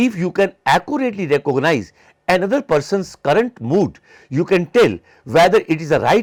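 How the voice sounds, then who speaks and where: A high-pitched male voice with an Indian accent and very wide pitch swings, dry and close with no echo. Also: very clean recording, silent background. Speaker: psychology lecturer. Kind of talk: lecture. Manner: halting.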